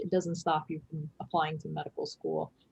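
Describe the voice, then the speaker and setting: A somewhat breathy woman's voice. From US, New York. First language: Chinese. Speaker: emergency physician. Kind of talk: lecture.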